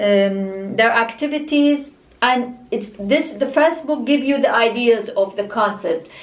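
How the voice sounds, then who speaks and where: A woman's fairly high voice with an Arabic accent and lively intonation at a fairly slow pace, over noticeable background noise. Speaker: book vlogger. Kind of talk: casual book review monologue. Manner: halting, many fillers and restarts.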